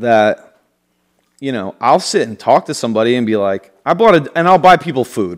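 In a very clean recording with a silent background, a man speaks at a moderate pace and medium pitch, his tone animated and his pitch swinging very widely. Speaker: podcast co-host. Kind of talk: casual chat.

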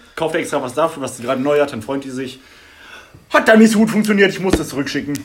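Lively intonation from a man over noticeable background noise. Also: big swings in loudness. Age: 20s. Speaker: podcast co-host, IT trainee. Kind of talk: casual chat.

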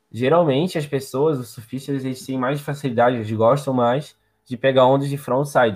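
In a very clean recording with a silent background, a man with a normal speaking voice talks at a medium pitch and moderate pace, his intonation fairly even. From Santa Catarina, Brazil (Palmas, near Florianópolis). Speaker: surfer. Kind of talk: casual chat.

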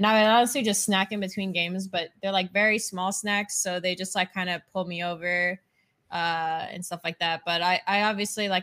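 In a very clean recording with a silent background, a woman with a normal speaking voice talks at a fairly quick pace, her medium pitch held in fairly even intonation. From Canada. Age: 20s. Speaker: esports player. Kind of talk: casual interview.

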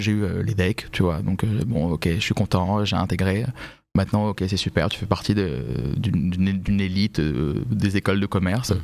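Using vocal fry, a man talks at a fairly low pitch and a moderate pace, with ordinary pitch variation. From Paris region (Vincennes), France. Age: 30s. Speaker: fashion professional. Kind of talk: podcast interview.

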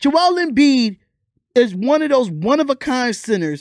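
Very clean, with a silent background and a dry, close sound with no echo, this recording has a man speaking at an extremely high pitch, in an animated tone with very wide pitch swings. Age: 30s. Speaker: sports and entertainment podcast host. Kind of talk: casual solo podcast commentary.

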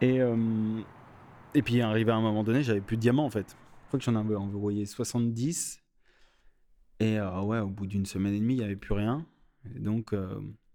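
A man speaks in a fairly low pitch with a dark, mellow tone and fairly even intonation at a moderate pace. He leaves long, frequent pauses, and the recording is very clean with a silent background. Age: 30s. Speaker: street artist. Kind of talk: personal storytelling. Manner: halting, many fillers and repetitions.

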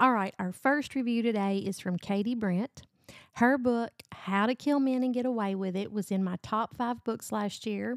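At a moderate pace, a woman talks with a fairly high pitch and ordinary pitch variation, the sound dry and close with no echo. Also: very clean recording, silent background. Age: 40s. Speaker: book podcast host. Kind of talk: casual book review monologue. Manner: animated.

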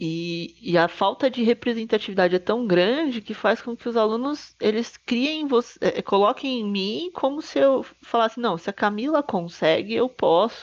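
With a normal speaking voice, a woman talks at a moderate pace with hardly any pauses, using lively intonation and a fairly high pitch. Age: 30s. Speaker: trumpeter, conductor and music educator. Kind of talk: casual chat.

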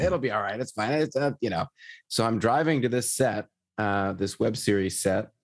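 A man with a normal speaking voice at a moderate pace, with lively intonation, against a quiet background. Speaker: podcast host. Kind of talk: casual interview chat.

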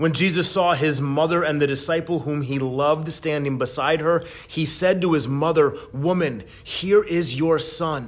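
An unremarkable speaking voice, this man's fairly high pitch and fairly even intonation run with hardly any pauses. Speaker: worship leader. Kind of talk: Good Friday meditation and prayer, read aloud. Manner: slow, hushed and reverent, fervent; gentle, measured, with long pauses.

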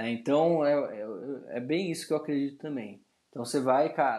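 Dark, mellow, and fairly high in pitch: a man's voice. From Brazil, São Paulo. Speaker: personal trainer. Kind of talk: casual interview conversation. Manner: halting, with frequent repetitions and fillers.

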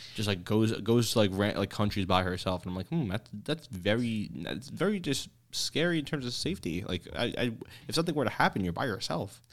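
On a very clean recording with a silent background, a man talks at a fairly quick pace with lively intonation. He has an ordinary speaking voice with a fairly low pitch. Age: 20s. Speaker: podcast host. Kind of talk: casual chat.

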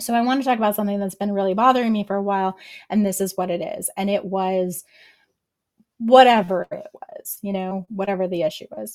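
With an American accent and an ordinary speaking voice, a woman speaks at a fairly quick pace and medium pitch, using fairly even intonation with big swings in loudness. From US military family. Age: 40s. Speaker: licensed therapist. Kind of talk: casual chat.

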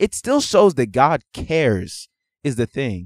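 An animated man with an American accent swings his pitch very widely, heard in a dry, close sound with no echo on a very clean recording with a silent background. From Houston, Texas, partly raised abroad; Nigerian family. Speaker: podcast co-host. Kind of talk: casual chat.

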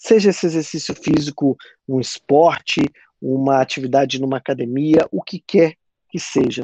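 In a dry, close recording with no echo and a quiet background, a man with a fairly high pitch and a dark, mellow tone speaks with ordinary pitch variation. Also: moderate pace. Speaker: podcast host and university lecturer. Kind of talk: interview. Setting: online call. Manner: casual.

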